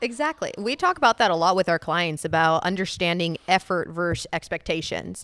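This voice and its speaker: Recorded very cleanly with a silent background and a dry, close sound with no echo, a woman with a fairly low pitch speaks at a fairly quick pace with hardly any pauses and ordinary pitch variation. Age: 20s. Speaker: fitness trainer. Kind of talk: casual chat.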